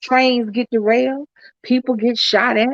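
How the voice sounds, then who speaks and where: With an American accent and a high pitch, a woman talks at a fairly slow pace with fairly even intonation, in a dry, close sound with no echo. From US South. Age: 50s. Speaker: YouTube vlogger. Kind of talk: livestream chat.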